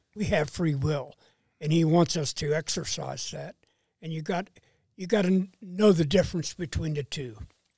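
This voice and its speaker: Dry, close sound with no echo from a man with a fairly high, dark, mellow voice, ordinary pitch variation, a moderate pace and big swings in loudness. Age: 70s. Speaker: church elder, host's father. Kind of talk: casual chat.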